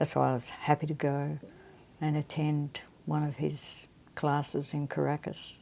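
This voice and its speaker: A woman's very deep, low voice in an Australian accent, flat and monotone at a fairly slow pace. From Australia, Melbourne. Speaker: guitarist and guitar teacher. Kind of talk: interview. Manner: halting.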